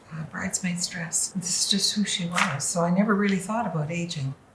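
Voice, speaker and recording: This woman talks at a moderate pace with fairly even intonation and a fairly low pitch. Noticeable background noise runs under her voice. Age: 80s+. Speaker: former palliative care worker. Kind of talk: interview answer.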